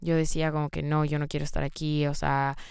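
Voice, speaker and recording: A woman speaks at a moderate pace in a very deep, low pitch, with a monotone, flat intonation. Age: 20s. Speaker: podcast host. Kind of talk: solo monologue podcast. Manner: hesitant, filler-heavy.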